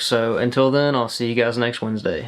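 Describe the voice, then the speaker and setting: A man talks at medium pitch. His intonation is monotone and flat. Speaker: YouTuber. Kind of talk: casual vlog talk to camera. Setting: sitting in front of the camera. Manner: fast; rambling.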